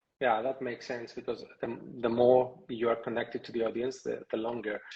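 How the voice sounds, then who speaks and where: Speaking in a non-native accent, a man delivers his words in a flat monotone at a medium pitch, sounding somewhat breathy. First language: not English. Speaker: podcast host. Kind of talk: interview on a live podcast. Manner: halting, hesitant. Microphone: connection froze.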